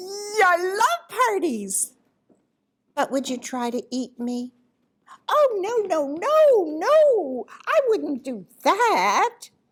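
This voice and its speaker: A woman does a put-on character voice at an extremely high pitch, moving very slowly with very wide pitch swings. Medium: read story. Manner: sweet, coaxing.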